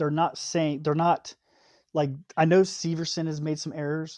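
An ordinary speaking voice from a man, fairly high in pitch, with a dry, close sound, no echo, and a quiet background. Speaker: guest, hockey fan. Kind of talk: casual chat.

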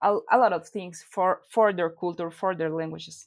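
In a very clean recording with a silent background, a woman with a Spanish accent speaks at a medium pitch. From Mexico. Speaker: animation creator and studio co-founder. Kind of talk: interview.

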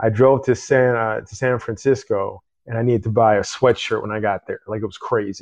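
A man with an American accent has a plain, everyday voice at medium pitch, with fairly even intonation. He speaks at a fairly quick pace over a quiet background. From Chicago area, US Midwest. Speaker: podcast host. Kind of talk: casual interview.

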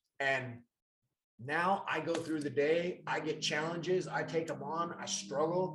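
Music plays in the background while a man talks. His pitch is fairly high, his intonation fairly even, and he speaks with an American accent. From Montana, US. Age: 40s. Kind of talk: casual live-stream chat. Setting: live stream at home, sitting next to co-host.

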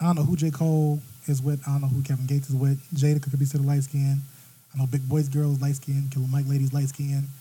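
Very fast and somewhat breathy, a man's dark, mellow, fairly high voice holds a monotone, flat intonation at a very even loudness. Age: 30s. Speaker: podcast guest. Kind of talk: casual chat.

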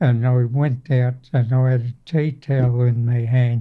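A man talks in a strong Australian accent at a medium pitch and a fairly slow pace. His voice is somewhat breathy, with monotone, flat intonation. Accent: broad Australian. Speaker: navy veteran. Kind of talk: oral history interview. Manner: halting.

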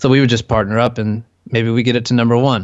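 At a moderate pace, a man with an American accent speaks at medium pitch with fairly even intonation. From California. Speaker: SEO entrepreneur. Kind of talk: interview conversation.

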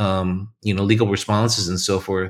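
A man speaks with a West Coast accent. The recording is very clean, with a silent background. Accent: American West Coast. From US West Coast, California. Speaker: corporate learning executive. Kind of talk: podcast interview.

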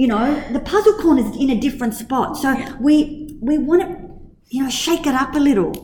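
Lively, high-pitched intonation from a woman at a moderate pace, over noticeable background noise. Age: 50s. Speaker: kindergarten teacher and director. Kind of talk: casual interview.

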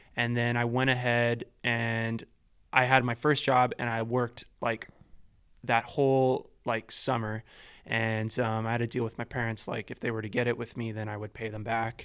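A man's medium-pitched voice with a Canadian accent, a moderate pace and flat, monotone intonation. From Vancouver, Canada (East Van). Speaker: composer and sound designer. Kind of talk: casual interview.

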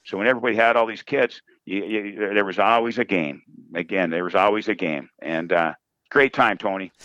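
Speaking at a fairly quick pace, a man has a fairly low pitch and ordinary pitch variation. The sound is dry and close, with no echo. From Minnesota Iron Range, Coleraine. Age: 50s. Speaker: college hockey coach. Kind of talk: casual interview chat. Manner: energetic.

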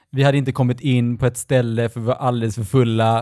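The recording is very clean against a silent background. Intonation stays flat and monotone. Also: man. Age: 40s. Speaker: podcast co-host. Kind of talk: casual chat.

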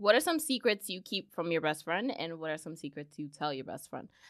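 A woman with a fairly low pitch and a bright, sharp tone talks at a fairly quick pace with lively intonation. The recording is very clean, with a silent background. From the Bronx, New York. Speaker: podcast co-host. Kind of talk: casual banter.

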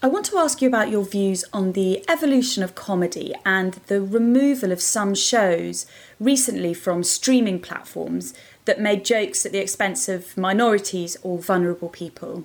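A woman with an ordinary speaking voice talks at a medium pitch and moderate pace, with ordinary pitch variation. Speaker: podcast host. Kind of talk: scripted intro and interview.

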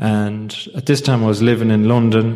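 A man talks with an Irish accent. His pitch is fairly low and his pace moderate. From Ireland. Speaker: recovery group speaker. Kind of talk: testimony.

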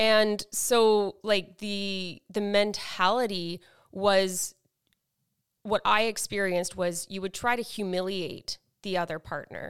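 On a very clean recording with a silent background, a woman speaks at a very slow pace at medium pitch in a monotone, flat intonation. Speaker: podcast co-host. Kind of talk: casual chat.

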